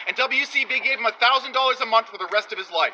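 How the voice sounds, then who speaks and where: A man speaks in a raised, projected voice at an extremely high pitch and a fairly quick pace, with ordinary pitch variation. Noticeable background noise is present. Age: 40s. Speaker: activist. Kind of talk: heated debate. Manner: animated.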